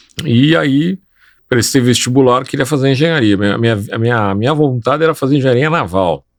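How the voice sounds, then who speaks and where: An unremarkable speaking voice from a man at medium pitch, fairly quick in pace, with lively intonation and very even loudness, on a very clean recording with a silent background. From Brazil, São Paulo. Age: 60s. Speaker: civil engineer. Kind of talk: interview conversation.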